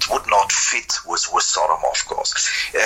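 A man with a German accent talks against noticeable background noise. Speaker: metal guitarist. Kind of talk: interview. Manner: halting.

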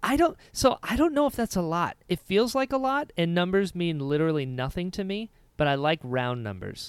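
A man with an American accent, high-pitched with very wide pitch swings, in a dry, close sound with no echo on a very clean recording with a silent background. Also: moderate pace, hardly any pauses. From US, Florida. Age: 30s. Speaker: podcast co-host and actor. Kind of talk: casual chat.

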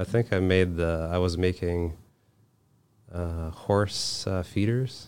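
A man's very deep, low voice at a very slow pace, with fairly even intonation and long, frequent pauses. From Moldova. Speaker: tradesperson, finishing business owner. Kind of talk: casual interview. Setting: studio. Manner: soft-spoken.

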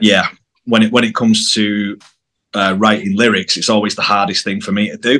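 A man talks at a fairly quick pace in a fairly low, bright, sharp voice with monotone, flat intonation. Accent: northern English. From northern England, near Manchester. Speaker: rock band bassist. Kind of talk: casual interview chat. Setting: video call.

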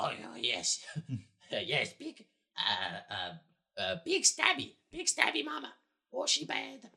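Very slow delivery in a put-on character voice. Long, frequent pauses break up the speech. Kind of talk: broken speech. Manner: fearful, excited.

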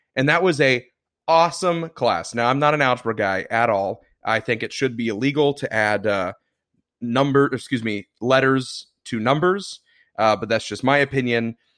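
An unremarkable speaking voice at a moderate pace, with ordinary pitch variation. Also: man, medium pitch for a man. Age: 20s. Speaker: podcast co-host. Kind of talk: casual chat.

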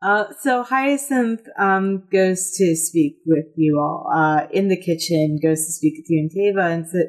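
An unforced reading voice moves with lively intonation.

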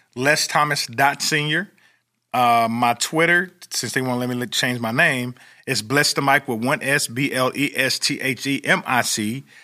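Recorded very cleanly against a silent background, a man talks at a moderate pace in a bright, sharp tone. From Oklahoma. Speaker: motivational speaker and stadium hype man. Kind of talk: interview. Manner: animated.

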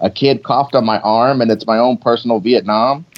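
A man speaks fairly quickly in an unremarkable speaking voice, his pitch varying in an ordinary way. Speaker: comedian and podcaster. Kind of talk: casual comedic chat.

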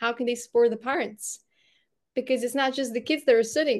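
A woman with a Bulgarian accent speaks in a high pitch with fairly even intonation. The background is quiet. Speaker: podcast host and brand strategist. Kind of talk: casual interview.

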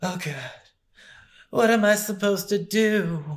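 A man puts on a whiny character voice, high in pitch and whiny in tone, at a moderate pace. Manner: whiny, pathetic.

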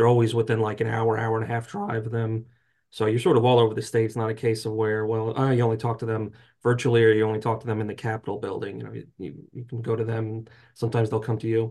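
Against a quiet background, the speaker goes at a very fast pace in a somewhat breathy, dark, mellow tone with monotone, flat intonation. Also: man, medium pitch for a man. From North Jersey. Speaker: trade association lobbyist. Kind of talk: interview.

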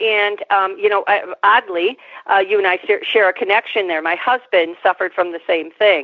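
A woman with an unremarkable speaking voice talks at a moderate pace and medium pitch, keeping her intonation fairly even. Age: 50s. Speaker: psychotherapist and podcast host. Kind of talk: interview.

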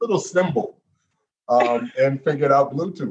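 A moderate pace and a somewhat breathy voice. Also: man. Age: 40s. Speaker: podcast host. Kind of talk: casual interview chat. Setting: video call.

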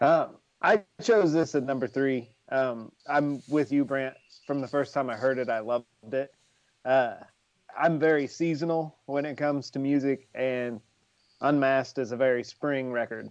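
A man speaks at a moderate pace in a normal speaking voice. His pitch is medium and his intonation fairly even. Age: 40s. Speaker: music fan co-host. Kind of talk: casual chat.

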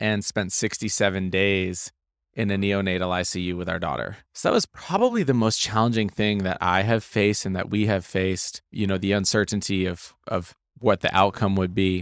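A man with an American accent speaks at a fairly low pitch and a moderate pace. His intonation is monotone and flat, on a very clean recording with a silent background. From Maine, US. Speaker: real estate investor. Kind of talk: interview. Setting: event recording booth.

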